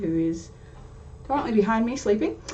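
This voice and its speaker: A woman with an Australian accent is heard with noticeable background noise and audible room echo. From Australia, Sydney. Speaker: tarot youtuber. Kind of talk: casual vlog intro. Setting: home recording on webcam. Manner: chatty, hesitant fillers.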